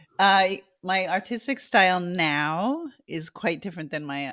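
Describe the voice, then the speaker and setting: A woman with an American accent and lively intonation is heard in a very clean recording with a silent background. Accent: New Jersey accent, comes out at times. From New Jersey. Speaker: artist. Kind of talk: interview.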